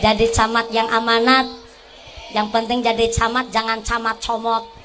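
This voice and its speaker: A woman's fairly high voice at a moderate pace, monotone and flat in intonation, very even in loudness, with audible room echo and music in the background. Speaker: female Islamic preacher. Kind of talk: sermon. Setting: stage with audience, PA system. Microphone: asks sound man to remove echo effect.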